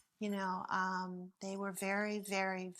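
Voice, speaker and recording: A plain, everyday voice from a woman with an American accent, at a fairly slow pace, in a very clean recording with a silent background. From southern California, Palm Springs. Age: 60s. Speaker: interviewee sharing life story. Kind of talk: personal storytelling interview.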